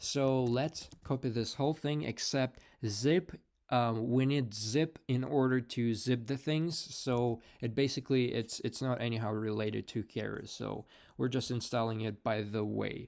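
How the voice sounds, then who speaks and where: On a very clean recording with a silent background, a man with a non-native accent speaks at a fairly slow pace with fairly even intonation. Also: medium pitch for a man. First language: not English. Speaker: programming tutorial creator. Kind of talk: screen-recorded coding tutorial. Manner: many fillers and repetitions; casual, conversational.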